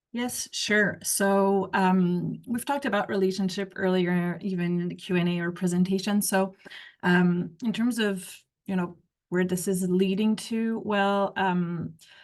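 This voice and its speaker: A woman with a French Canadian accent talks at a fairly slow pace. Her pitch is medium and her intonation fairly even. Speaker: researcher. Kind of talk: panel discussion. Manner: halting.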